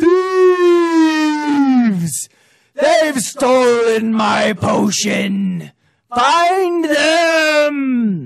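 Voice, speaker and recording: Doing a put-on character voice, a man speaks at an extremely high pitch and a very slow pace. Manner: angry, commanding.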